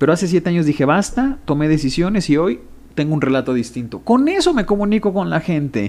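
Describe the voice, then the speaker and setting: Speaking at a fairly quick pace, a man with a fairly high pitch makes very wide pitch swings while keeping his loudness very even. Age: 30s. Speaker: sociologist and communication consultant. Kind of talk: interview conversation.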